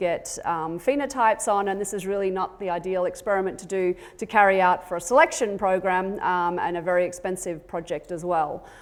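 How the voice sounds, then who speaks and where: A fairly quick pace and ordinary pitch variation come with an Australian accent. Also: woman. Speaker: genetics professor and extension lead. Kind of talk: conference talk.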